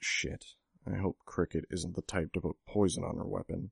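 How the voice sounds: A man puts on a character voice, very low in pitch with vocal fry and a slightly husky edge. His pitch moves little, and the sound is dry and close with no echo. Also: moderate pace, very clean recording, silent background.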